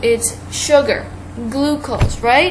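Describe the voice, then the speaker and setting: Noticeable background noise runs through the clip. Audible room echo is present too. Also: woman. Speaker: online biology teacher. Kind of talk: video lesson.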